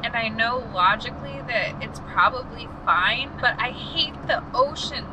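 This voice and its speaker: There is noticeable background noise. A woman talks through it at a fairly slow pace. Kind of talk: casual vlog chat. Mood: anxious, scared, half joking. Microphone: camera far.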